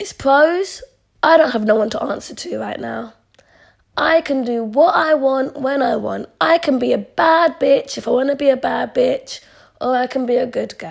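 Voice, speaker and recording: A woman talks with a London accent at a moderate pace. Her loudness swings widely. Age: 20s. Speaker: podcaster. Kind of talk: casual chat. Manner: chatty, informal.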